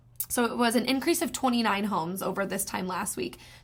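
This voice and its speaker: The voice is somewhat breathy, and its pitch varies in an ordinary way. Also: woman. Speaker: real estate agent. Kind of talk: market update vlog. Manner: fast.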